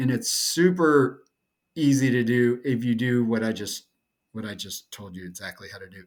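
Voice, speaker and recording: He speaks with an American accent. The voice is a man's. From North Carolina, US South. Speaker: SEO consultant. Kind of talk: tutorial. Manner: monotone; casual, with fillers.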